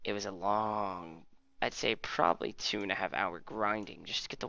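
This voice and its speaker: A man speaks at a moderate pace in a fairly low pitch. Vocal fry runs through his voice. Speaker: gaming YouTuber. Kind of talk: let's play commentary. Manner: casual, rambling.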